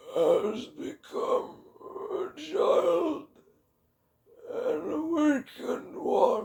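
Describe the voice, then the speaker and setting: The speaker puts on a raspy character voice and talks at a very slow pace. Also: man, extremely high pitch for a man. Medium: read story.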